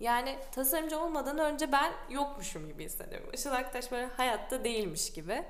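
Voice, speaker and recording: Audible room echo surrounds a woman who speaks at a moderate pace in a high pitch. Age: 20s. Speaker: designer. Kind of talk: casual chat.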